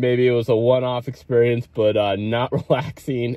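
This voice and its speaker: A man at a moderate pace, dry in sound with no echo. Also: quiet background. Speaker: vlogger reviewing a coffee shop. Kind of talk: casual vlog chat. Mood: amused, recounting a tense visit. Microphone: phone near.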